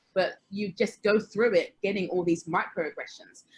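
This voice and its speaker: A woman with a British accent talks at a medium pitch in a somewhat breathy voice. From England, Hertfordshire (Watford). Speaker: panelist. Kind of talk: panel discussion.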